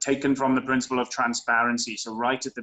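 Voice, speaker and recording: A man with a strong Welsh accent talks at a moderate pace. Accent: very Welsh. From Wales. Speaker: tech industry professional, former consultant. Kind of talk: interview. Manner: hesitant, many fillers.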